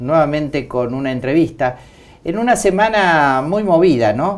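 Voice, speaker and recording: A man talks with ordinary pitch variation. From Argentina. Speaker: TV show host. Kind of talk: interview. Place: studio. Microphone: lapel.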